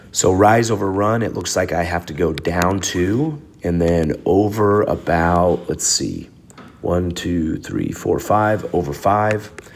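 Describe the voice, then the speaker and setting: Very slow speech from a man with a very deep, low pitch, amid noticeable background noise. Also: ordinary pitch variation. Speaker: math teacher. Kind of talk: recorded lesson video. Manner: casual.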